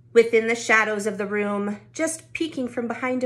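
An unremarkable speaking voice from a woman, its pitch fairly high and its variation ordinary. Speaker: youth club storyteller. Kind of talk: bedtime-style picture book read-aloud for kids. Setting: recorded at home during lockdown. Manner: gentle, rhythmic rhyming cadence; warm, friendly address to children.

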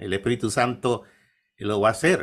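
A man talking at a moderate pace. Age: 50s. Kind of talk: interview. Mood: calm, devout. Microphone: webcam.

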